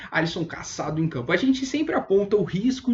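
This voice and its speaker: The speech comes at a very fast pace with lively intonation. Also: man. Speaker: fantasy football analyst. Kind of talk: online video analysis.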